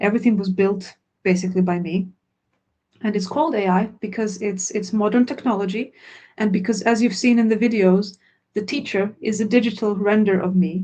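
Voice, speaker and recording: Her tone dark and mellow, a woman speaks at a medium pitch and a fairly quick pace with fairly even intonation. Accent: Croatian. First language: Croatian. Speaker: language course founder. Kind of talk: webinar Q&A.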